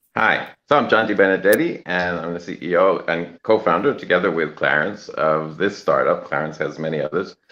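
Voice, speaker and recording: Very deep and low in pitch, a man speaks at a moderate pace. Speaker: startup CEO. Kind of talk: casual chat. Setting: quiet place. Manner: quiet, keeping voice down.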